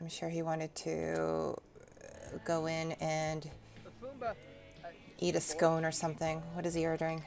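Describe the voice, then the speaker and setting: A woman talks at a fairly slow pace with long, frequent pauses. Music plays in the background. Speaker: game content creator. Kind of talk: casual game tour narration. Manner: hesitant, stuttery.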